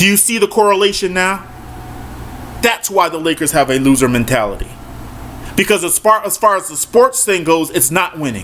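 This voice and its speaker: A man with a high voice talks at a fairly quick pace in an animated tone, his intonation lively, with long, frequent pauses and noticeable background noise. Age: 40s. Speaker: sports commentator. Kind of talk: monologue rant.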